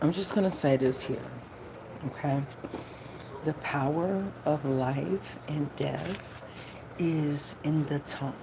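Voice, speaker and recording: Amid noticeable background noise, a woman with a very deep, low voice speaks at a very slow pace, with long, frequent pauses and ordinary pitch variation. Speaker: spiritual tarot reader. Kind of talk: live stream talk. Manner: talking low.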